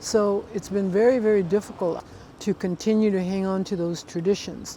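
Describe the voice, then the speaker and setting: Her medium-pitched voice has a dark, mellow tone as the woman speaks at a moderate pace. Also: fairly even intonation. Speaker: Native leader. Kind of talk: interview.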